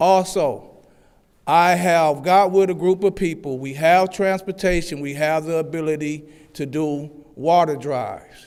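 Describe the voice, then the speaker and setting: The recording is very clean, with a silent background. A man speaks loudly in a high voice, at a fairly slow pace with fairly even intonation. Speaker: public commenter at city council meeting. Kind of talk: public comment speech. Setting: council chambers with microphone.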